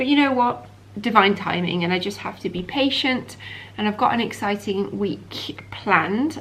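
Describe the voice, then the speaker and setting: A woman with a British accent speaks at a medium pitch and a moderate pace, with ordinary pitch variation and big swings in loudness. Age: 40s. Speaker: doctor and vlogger. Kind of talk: casual vlog talk to camera. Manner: animated.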